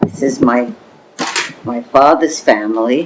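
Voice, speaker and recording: A woman's very deep, low voice at a fairly slow pace, with noticeable background noise. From New York City, the Bronx. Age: 80s+. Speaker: oral history interviewee. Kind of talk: oral history interview. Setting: home apartment. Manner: halting.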